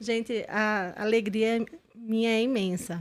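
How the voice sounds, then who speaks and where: This is a woman speaking. She has a northeastern Brazilian accent. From Brazilian Northeast. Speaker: podcast host and corporate consultant. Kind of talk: podcast interview.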